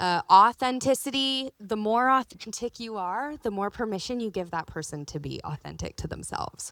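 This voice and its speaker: A woman's lively voice in a Southern California accent, dry and close with no echo on a very clean recording with a silent background. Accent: Valley girl speech. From California, San Fernando Valley. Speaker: anti-trafficking advocate and survivor. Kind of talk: conference seminar talk. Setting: conference seminar. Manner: casual, informal.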